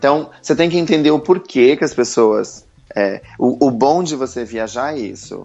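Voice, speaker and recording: This is a normal speaking voice, with ordinary pitch variation. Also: man. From Brazil, Santa Catarina. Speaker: entrepreneur. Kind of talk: interview.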